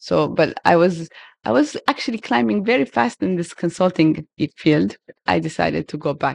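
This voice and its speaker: Against a quiet background, a woman with vocal fry speaks at a fairly low pitch in a dry, close sound with no echo. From Ethiopia, Harar. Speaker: coffee business founder. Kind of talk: interview. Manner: halting, with repetitions.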